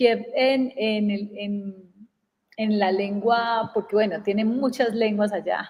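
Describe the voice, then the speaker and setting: A woman's somewhat breathy, fairly high voice in an Antioquian accent, very slow and flat in a monotone. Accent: Antioquian Colombian Spanish (paisa). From Colombia, Antioquia (Medellín, southwest rural area). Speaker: communication and personal development coach. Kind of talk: casual chat.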